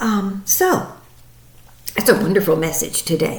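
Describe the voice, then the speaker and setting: Audible room echo surrounds the voice. A woman speaks at a fairly slow pace. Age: 70s. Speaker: psychic medium and meditation teacher. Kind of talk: spiritual daily message talk. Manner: hesitant, many fillers.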